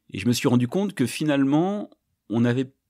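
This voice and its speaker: The pitch makes very wide swings over a dark, mellow tone. The recording is very clean, with a silent background. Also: man. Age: 50s. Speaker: company director. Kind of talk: podcast interview. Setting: on location at company premises. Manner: halting, with many hesitations.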